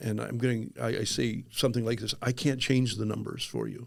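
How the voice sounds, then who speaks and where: A man speaks with vocal fry. His intonation is fairly even. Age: 60s. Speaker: life insurance agent, former pastor. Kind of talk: podcast interview. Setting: studio. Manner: halting, many fillers and repeats.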